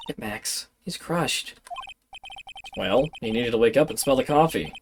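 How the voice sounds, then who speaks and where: This is a put-on character voice with a low-to-middle pitch. It moves at a moderate pace. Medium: game stream.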